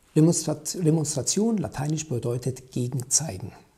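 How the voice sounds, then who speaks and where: A dark, mellow, somewhat breathy voice at a moderate pace, with lively intonation. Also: man. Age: 50s. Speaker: company founder and podcast host. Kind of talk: solo commentary podcast.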